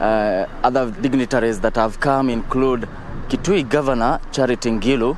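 This man speaks at a moderate pace in a dry sound with no echo and light background noise. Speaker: TV field reporter. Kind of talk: live news report. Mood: sombre, measured. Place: street. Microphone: handheld.

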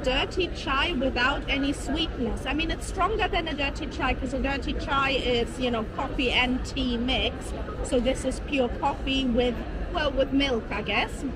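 Through noticeable background noise, a woman's speech unfolds at a fairly slow pace. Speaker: food vlogger. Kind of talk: casual vlog chat. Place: market. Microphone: phone near.

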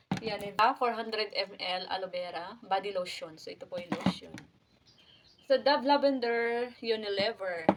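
Over noticeable background noise, a woman with a fairly high pitch speaks at a fairly slow pace, with ordinary pitch variation and big swings in loudness. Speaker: vlogger. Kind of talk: unboxing vlog. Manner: casual.

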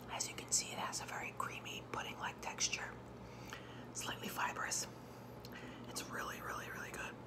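Moderate pace from a woman amid loud background noise. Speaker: ASMR vlogger. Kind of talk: ASMR eating video, casual talk to camera. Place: home room. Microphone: phone near.

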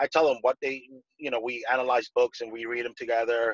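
A man speaks at a medium pitch with a Peruvian accent. The sound is dry with no echo, over a quiet background. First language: Spanish. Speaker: real estate investor. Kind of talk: interview.

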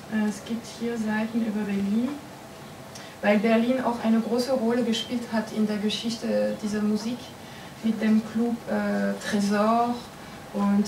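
Against noticeable background noise, a woman speaks at a fairly high pitch with a French accent. Her delivery is fairly slow and monotone, broken by long, frequent pauses. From France. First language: French (speaking German). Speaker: comics writer. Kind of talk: interview at a festival talk. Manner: halting, many fillers. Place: meeting room. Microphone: camera far.

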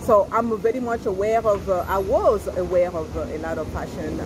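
Noticeable noise fills the background. A woman talks over it. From Congo, raised partly in France. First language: French. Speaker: fashion boutique owner and YouTuber. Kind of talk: casual chat. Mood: relaxed, cheerful. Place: cafe. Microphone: phone near.

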